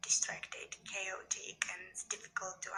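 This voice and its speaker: A woman with a non-native accent talks at a fairly slow pace over noticeable background noise. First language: not English. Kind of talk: casual talk to camera.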